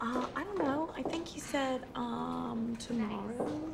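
A put-on character voice whispers at a slow pace with vocal fry. Background noise is clearly audible. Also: woman.

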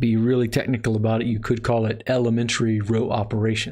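A man with an American accent talks at a fairly quick pace in a somewhat breathy, monotone, flat delivery against a quiet background. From Texas. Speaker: math instructor. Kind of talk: lecture. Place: home room.

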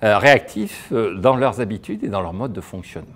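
A man speaks at a moderate pace. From France. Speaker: economist; speaker. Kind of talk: lecture. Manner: animated. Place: hall. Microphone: lapel.

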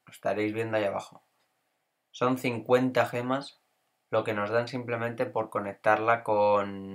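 On a very clean recording with a silent background, a man with a medium-pitched voice speaks monotone and flat at a very slow pace. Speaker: gaming youtuber. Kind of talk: gameplay commentary tutorial. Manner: casual, with hesitations.

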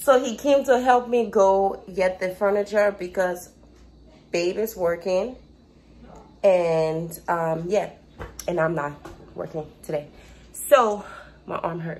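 Here a woman talks at a very slow pace, with long, frequent pauses. Her pitch varies in an ordinary way over light background noise. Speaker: vlogger. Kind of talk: casual vlog chat. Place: kitchen. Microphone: phone near.

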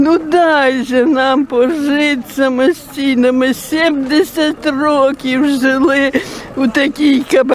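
With a high pitch and fairly even intonation, a woman speaks at a very slow pace in a dry recording with no echo and light background noise. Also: very even loudness. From Kyiv region, Ukraine. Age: 80s+. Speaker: evacuated villager. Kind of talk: interview answer. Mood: distressed, pleading. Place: street. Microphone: phone near.

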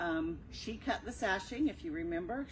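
A woman's voice with vocal fry and ordinary pitch variation, over light background noise. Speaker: quilting instructor. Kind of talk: tutorial. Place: shop. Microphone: camera far.

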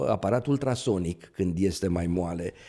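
Over a quiet background, a man with a dark, mellow tone speaks at a fairly slow pace with lively intonation. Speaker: neurosurgeon; guest. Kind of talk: interview. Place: studio. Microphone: studio mic.

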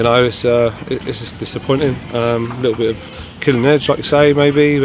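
Over music in the background, a man talks very fast with fairly even intonation in a dry sound with no echo. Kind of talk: interview answer. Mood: disappointed, reflective. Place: stadium.

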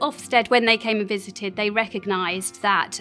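A woman talks with ordinary pitch variation while faint music plays in the background. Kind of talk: interview answer. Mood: warm, enthusiastic. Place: classroom.

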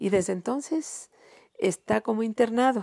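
The background is quiet. A woman speaks with a dark, mellow tone. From Mexico, Guerrero (San Jerónimo); Guerrero, Mexico. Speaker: retired teacher and singer; retired teacher. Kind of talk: interview. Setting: her home. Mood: calm, reflective. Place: home room. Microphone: lapel.

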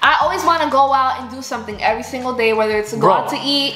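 Speaking at a very fast pace in a high pitch, a woman is heard with audible room echo and faint music in the background. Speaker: couple vlogger, co-host. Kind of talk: casual vlog chat. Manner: playful, teasing. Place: home room. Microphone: camera far.

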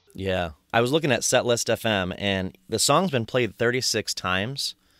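In a very clean recording with a silent background, a man with an American accent has an unremarkable speaking voice, fairly low in pitch, with lively intonation. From Michigan. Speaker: podcast host. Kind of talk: casual chat.

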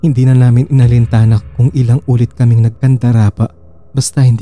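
Very fast and fairly even in intonation, a man's medium-pitched voice sounds somewhat breathy, dark and mellow, captured dry and close with no echo. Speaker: horror story narrator. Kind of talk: horror story narration, first-person scripted storytelling.

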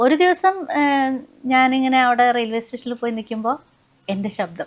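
High in pitch, a woman's voice moves with ordinary pitch variation. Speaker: railway station announcement voice artist; music teacher. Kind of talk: interview answer.

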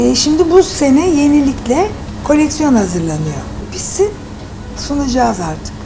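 Noticeable background noise surrounds a woman whose high voice swings very widely in pitch. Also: fairly slow pace. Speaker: actress. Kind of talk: interview answer. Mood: relaxed, chatty. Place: home room.

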